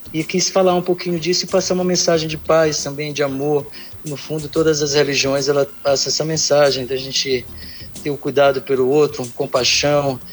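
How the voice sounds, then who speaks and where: A man with a fairly high pitch and fairly even intonation, over noticeable background noise. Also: moderate pace. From Brazil, São Luís, Maranhão. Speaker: singer-songwriter. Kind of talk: interview. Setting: online remote call.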